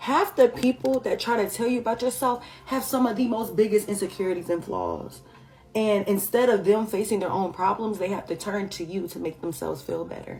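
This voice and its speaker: With music in the background, a woman with a medium pitch and an American accent talks at a fairly quick pace with ordinary pitch variation. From San Francisco Bay Area. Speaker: lifestyle content creator. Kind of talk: casual vlog talk.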